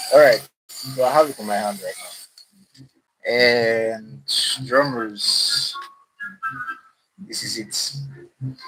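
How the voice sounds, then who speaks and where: Over background music, a man speaks at a very slow pace with long, frequent pauses and big swings in loudness. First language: not English. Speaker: DIY maker streamer. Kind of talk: live stream demo. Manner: halting.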